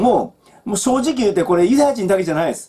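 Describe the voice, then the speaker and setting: A man talks fairly quickly while the background stays quiet. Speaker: Bible teacher. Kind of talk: Bible study talk. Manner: casual, with many fillers. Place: home room. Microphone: webcam.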